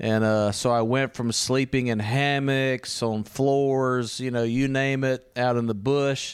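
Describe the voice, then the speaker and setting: This man talks at a medium pitch with a Louisiana accent, his intonation flat and monotone. He goes at a fairly slow pace with hardly any pauses and very even loudness, over noticeable background noise. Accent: Southern US (Louisiana). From US South, Louisiana. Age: 40s. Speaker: missionary preacher. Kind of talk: casual interview. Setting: recorded on location in Italy.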